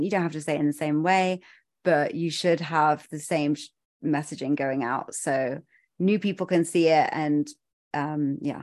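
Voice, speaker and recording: A woman with a southern English accent, a very deep, low pitch and fairly even intonation at a fairly slow pace, over a quiet background. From southern England. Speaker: brand photographer. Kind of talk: interview conversation.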